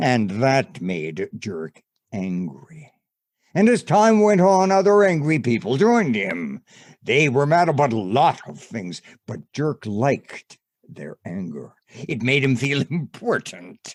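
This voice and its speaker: A man puts on a character voice at medium pitch, swinging very widely in pitch at a fairly slow pace. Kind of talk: bedtime story. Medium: stage play. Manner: measured, wry.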